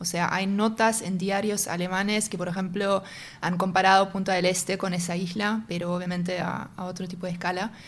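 A woman speaks at a medium pitch. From northern Germany, North Sea island near Denmark. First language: German (speaking Spanish). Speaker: tech company executive and singer. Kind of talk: interview conversation. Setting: in person, same room as host.

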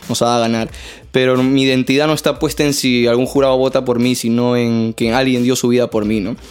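A man talks at a fairly quick pace with a medium pitch. His loudness stays very even. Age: 20s. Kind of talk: testimony; casual chat. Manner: animated.

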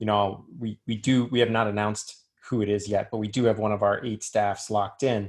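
A man with a fairly low pitch speaks fairly quickly, his intonation monotone and flat. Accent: American. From US South, Richmond, Virginia. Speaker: sports league executive and lawyer. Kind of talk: interview.

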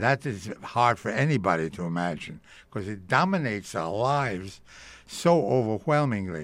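A man with a New York accent, fairly low-pitched, with very wide pitch swings at a moderate pace, in a very clean recording with a silent background. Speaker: radio drama producer. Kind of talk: interview. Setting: museum event.

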